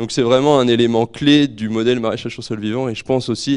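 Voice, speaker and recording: Against a quiet background, a man talks with monotone, flat intonation. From Normandy, France (Calvados, near Port-en-Bessin); Normandy, France. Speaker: market gardener. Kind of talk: presentation to an audience. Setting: room with live audience, microphone. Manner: halting, repeats words. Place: hall. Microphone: handheld.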